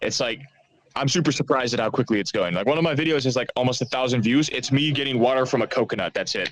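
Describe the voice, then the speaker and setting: Very fast, a man with an American accent talks with ordinary pitch variation. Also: medium pitch for a man. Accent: American-sounding English. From Netherlands, Amsterdam. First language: Dutch. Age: 20s. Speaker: author. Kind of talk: casual interview. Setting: remote call.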